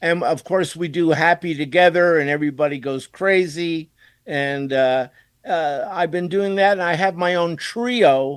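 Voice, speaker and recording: A man speaks in a high voice at a fairly slow pace, with ordinary rises and falls in pitch. The recording is very clean, with a silent background. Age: 70s. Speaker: rock musician, keyboardist. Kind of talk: radio interview.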